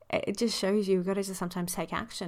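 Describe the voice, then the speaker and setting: A woman speaks in an Australian accent, her pitch fairly low and her intonation fairly even. The recording is very clean, with a silent background. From Sydney, western suburbs. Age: 30s. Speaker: intimacy coach. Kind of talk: solo podcast monologue.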